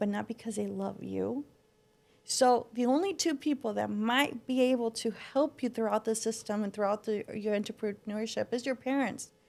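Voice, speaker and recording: With a Spanish accent, a woman speaks at a moderate pace in a dark, mellow tone, her pitch fairly high and her intonation fairly even. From Mexico and southern California. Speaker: floral designer and business owner. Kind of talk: podcast interview.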